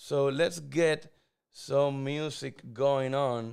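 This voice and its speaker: You can hear a Spanish accent. The speaker is a man. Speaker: crypto livestream host. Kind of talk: live stream chat.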